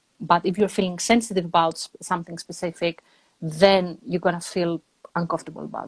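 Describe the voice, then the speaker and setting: A woman with a Greek accent speaks fairly quickly in a fairly low, somewhat breathy voice, her intonation fairly even. Her loudness swings widely, and the sound is dry and close with no echo. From Greece. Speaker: energy psychologist and online entrepreneur. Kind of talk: casual conversation.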